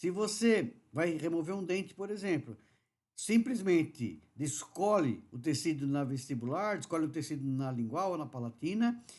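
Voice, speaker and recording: Very wide pitch swings mark this man's speech. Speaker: dental surgery lecturer. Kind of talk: webinar lecture.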